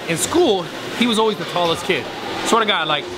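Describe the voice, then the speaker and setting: A man speaks over loud background noise. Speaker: gym owner vlogger. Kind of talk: casual vlog chat. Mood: joking, storytelling. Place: gym. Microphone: phone near.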